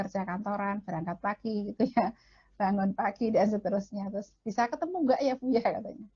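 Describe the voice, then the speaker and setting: A woman talks very fast in a shrill, somewhat breathy voice with lively intonation. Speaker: marriage counselor and speaker. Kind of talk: lecture.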